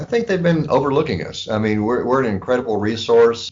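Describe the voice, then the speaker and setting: A man at a fairly quick pace with a Texan accent and ordinary pitch variation. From West Texas. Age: 60s. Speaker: pharmacy owner. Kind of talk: interview.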